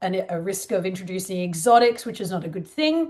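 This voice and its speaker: Here a woman talks at a fairly quick pace with lively intonation. The background is quiet. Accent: Australian. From Australia. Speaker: wildlife trafficking researcher. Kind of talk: conference presentation. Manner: casual.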